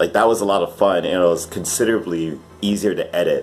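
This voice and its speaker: Noticeable background noise runs under the recording. A man talks at a moderate pace, his intonation fairly even. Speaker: YouTube piano musician. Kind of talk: casual vlog monologue. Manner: hesitant, filler-heavy.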